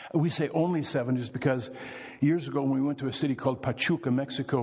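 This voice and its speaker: Speaking with an American accent, a man keeps a medium pitch and fairly even intonation. Noticeable background noise runs underneath. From US Midwest (Wisconsin). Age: 60s. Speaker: missionary preacher. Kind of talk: sermon. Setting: church.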